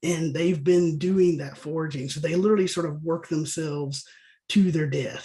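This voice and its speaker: A man with a Southern US accent and a fairly high pitch, talking at a fairly quick pace with ordinary pitch variation, some room echo audible. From US South. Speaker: bee scientist and state apiary inspector. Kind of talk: webinar lecture. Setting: online webinar. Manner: casual, conversational with fillers.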